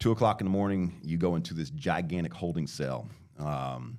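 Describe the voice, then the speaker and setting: Vocal fry and lively intonation in a man's very deep, low voice. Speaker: podcast guest telling his life story. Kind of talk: testimony. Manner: halting.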